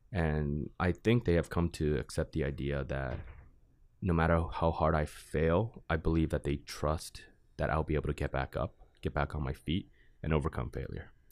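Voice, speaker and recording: The man's pitch is very deep and low. Vocal fry runs through his voice. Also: ordinary pitch variation, moderate pace, very clean recording, silent background. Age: 20s. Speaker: college student and student board chairman. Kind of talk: casual interview. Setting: studio.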